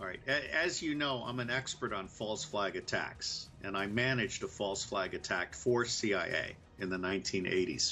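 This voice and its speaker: A man in an American accent at a medium pitch, with lively intonation, a moderate pace, hardly any pauses and music in the background. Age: 60s. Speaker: former intelligence officer. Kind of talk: political commentary.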